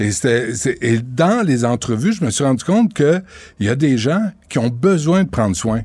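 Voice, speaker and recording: A dark, mellow tone with very wide pitch swings at a moderate pace, in a very clean recording with a silent background. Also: man. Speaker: radio host and documentary maker. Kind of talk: interview. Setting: studio.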